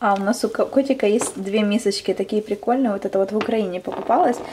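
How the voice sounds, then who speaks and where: Talking at a fairly quick pace with fairly even intonation, a woman is heard over noticeable background noise. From Ukraine. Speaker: vlogger. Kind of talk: casual vlog. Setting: outdoors, shopping and beach. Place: home room. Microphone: phone near.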